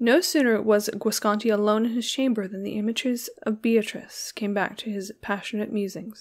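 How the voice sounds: Delivered in a natural reading voice, the lines keep a fairly even intonation.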